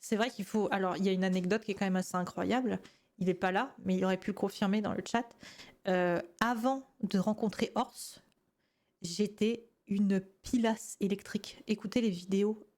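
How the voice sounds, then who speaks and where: Her medium-pitched voice keeps a fairly even intonation as the woman talks at a moderate pace. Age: 20s. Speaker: gaming youtuber reacting to old videos. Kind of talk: casual reaction commentary. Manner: calmer, more composed voice than before.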